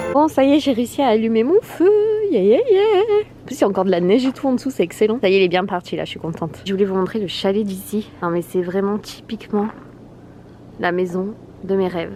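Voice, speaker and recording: A woman with a medium pitch and ordinary pitch variation talks at a very fast pace, broken by long, frequent pauses, over noticeable background noise. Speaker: lifestyle vlogger. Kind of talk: casual vlog. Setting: outdoors by a fire at a chalet. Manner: animated.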